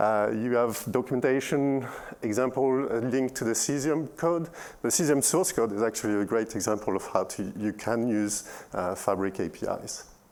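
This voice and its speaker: With a French accent, a man talks at a medium pitch. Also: ordinary pitch variation, moderate pace. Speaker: software engineer. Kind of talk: conference talk. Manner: halting, many fillers.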